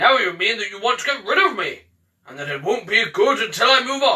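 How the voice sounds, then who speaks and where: A man's put-on character voice, extremely high in pitch, at a fairly quick pace. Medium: read story. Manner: grand, teasing.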